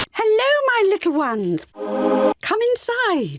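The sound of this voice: Pitched extremely high, a cartoonish character voice moves at a fairly slow pace over faint music in the background.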